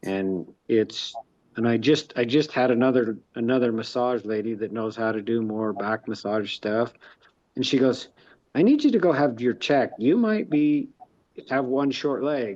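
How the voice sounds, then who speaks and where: A normal speaking voice at a moderate pace with ordinary pitch variation. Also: man, medium pitch for a man. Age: 50s. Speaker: real estate investor and construction worker. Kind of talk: casual chat.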